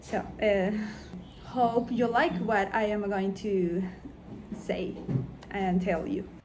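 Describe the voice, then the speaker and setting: A woman of medium pitch speaks very slowly, pausing long and often, with ordinary pitch variation. Noticeable background noise and audible room echo fill the recording. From Venezuela. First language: Spanish. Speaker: illustrator and animator. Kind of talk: interview. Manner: halting, with many fillers.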